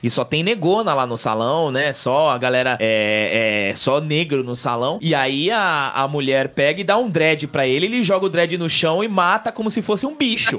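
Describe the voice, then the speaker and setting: Lively intonation and a bright, sharp tone come through at a moderate pace on a very clean recording with a silent background. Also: man. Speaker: podcast co-host. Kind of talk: casual chat.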